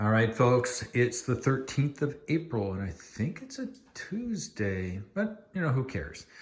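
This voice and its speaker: A man talks fairly slowly, his voice somewhat breathy and his pitch swinging very widely. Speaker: homeowner vlogger. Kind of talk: casual chat. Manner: lowered voice at times.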